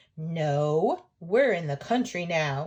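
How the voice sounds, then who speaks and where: A woman performs a put-on character voice. Her pitch sits fairly low. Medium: read story.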